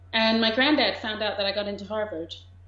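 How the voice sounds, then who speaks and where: A woman's voice, fairly high in pitch, with audible echo from the room. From England. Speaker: documentary director. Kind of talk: interview.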